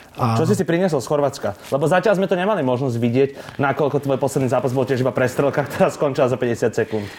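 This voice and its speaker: A man talks at a very fast pace with ordinary pitch variation. Noticeable background noise is present. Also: fairly high pitch for a man. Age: 20s. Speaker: podcast interviewer. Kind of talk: interview.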